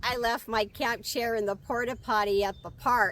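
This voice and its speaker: The voice belongs to a woman and sits fairly high. It has a bright, sharp tone. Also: very clean recording, silent background. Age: 60s. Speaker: van-life nomad. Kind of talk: casual talk to camera.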